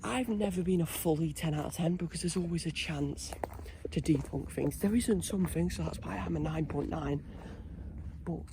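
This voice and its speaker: A man whispering in a British accent at a moderate pace, with noticeable background noise. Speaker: paranormal investigation vlogger. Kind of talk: solo ghost-hunt vlog.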